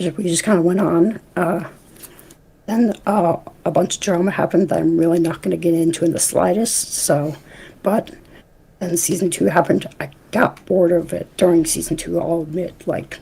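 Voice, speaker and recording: A woman's fairly low voice with vocal fry, a moderate pace and fairly even intonation. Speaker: YouTuber and podcast host. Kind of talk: casual chat. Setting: live stream. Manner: stuttering, halting.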